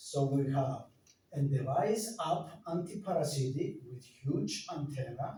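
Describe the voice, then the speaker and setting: Through noticeable background noise and audible room echo, a man speaks with a non-native accent. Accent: foreign. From Greece. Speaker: company director presenting health devices. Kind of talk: product presentation. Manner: halting, with hesitations.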